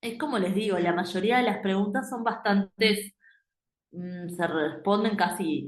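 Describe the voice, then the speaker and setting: A woman talks at a moderate pace. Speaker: medical exam prep teacher. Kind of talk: lecture. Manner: hesitant, many fillers.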